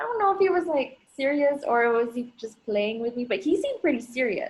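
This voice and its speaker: In an American accent, a woman with a high pitch speaks at a fairly quick pace with lively intonation. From Philippines, Angeles City, Pampanga. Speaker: podcast guest. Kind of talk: casual chat.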